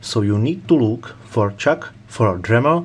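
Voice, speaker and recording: A man speaks at a medium pitch. He has a non-native accent. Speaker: tool reviewer. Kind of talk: product review talk to camera. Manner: slow.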